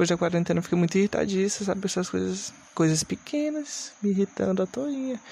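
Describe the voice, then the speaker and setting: Lively intonation marks a man's high-pitched voice with a dark, mellow tone. He talks at a fairly quick pace. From Brazil, Maranhão. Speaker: podcast host. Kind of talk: casual solo monologue. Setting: home recording with noisy fans at night.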